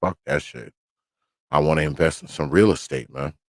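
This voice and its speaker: A man with a very deep, low pitch and vocal fry speaks at a moderate pace. His intonation is lively, and the sound is dry and close with no echo. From New York. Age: 50s. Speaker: podcast host. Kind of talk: casual monologue on livestream. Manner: casual, profane.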